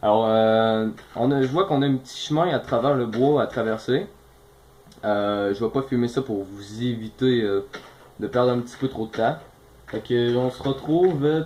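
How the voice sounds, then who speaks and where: A man talks with a Quebec accent. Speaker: gaming youtuber. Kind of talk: gameplay commentary. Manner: fast.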